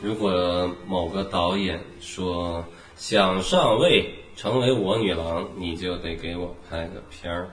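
A man speaks very slowly at a very deep, low pitch with fairly even intonation. Noticeable background noise and audible room echo are present. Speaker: film podcast co-host. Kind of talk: casual chat.

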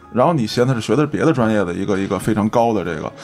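Over music in the background, the speech rushes by at a very fast pace. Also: man. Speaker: podcast host. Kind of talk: casual chat.

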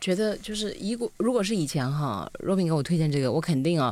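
A woman with a very deep, low pitch, very wide pitch swings, and a fairly quick pace. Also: very clean recording, silent background. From Hunan. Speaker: podcast host, former radio host. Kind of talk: casual chat.

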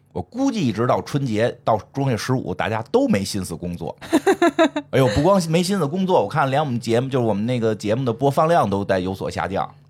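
This man speaks at a medium pitch and a fairly quick pace. His tone is animated, and his pitch swings very widely. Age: 40s. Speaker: podcast host. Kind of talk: casual chat.

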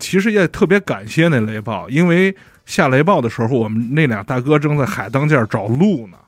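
Showing big swings in loudness and very wide pitch swings, a man talks in a fairly high voice. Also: moderate pace. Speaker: podcast guest. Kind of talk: casual chat.

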